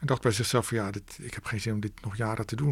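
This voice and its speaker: At a very fast pace, a man of medium pitch speaks in a somewhat breathy voice on a very clean recording with a silent background. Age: 50s. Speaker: author and record collector. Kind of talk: radio interview. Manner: halting, frequent repetitions.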